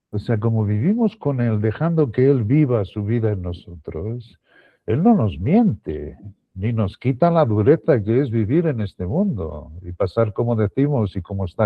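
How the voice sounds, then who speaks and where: Somewhat breathy male speech at a fairly slow pace, with very wide pitch swings. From Spain, Extremadura. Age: 60s. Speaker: Bible teacher. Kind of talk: Bible teaching talk. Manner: halting, with repetitions.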